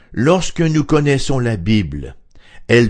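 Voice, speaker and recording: Very wide pitch swings run through what this man says. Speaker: radio Bible teacher. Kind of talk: radio Bible study talk.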